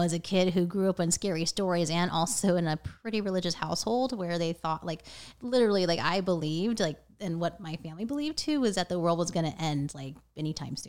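Talking at a very fast pace, a woman with a General American accent has a fairly low pitch and ordinary pitch variation. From US, Northern Virginia. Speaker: witch and tarot reader. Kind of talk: casual interview.

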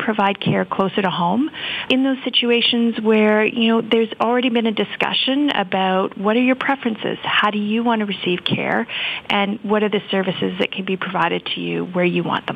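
Against noticeable background noise, a woman speaks at a fairly quick pace. Her fairly high voice has ordinary pitch variation. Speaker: healthcare foundation CEO. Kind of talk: interview.

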